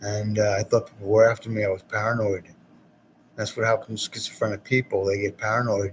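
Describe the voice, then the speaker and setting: Somewhat breathy, very fast delivery in a flat monotone. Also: man, fairly low pitch for a man. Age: 60s. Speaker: poet hosting cable access show. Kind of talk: rambling monologue. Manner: halting.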